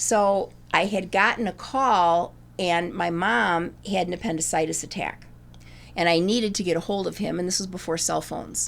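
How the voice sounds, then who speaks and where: A woman with a fairly low pitch, vocal fry, ordinary pitch variation and a moderate pace, on a very clean recording with a silent background. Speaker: retired English teacher. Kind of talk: personal storytelling interview. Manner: halting.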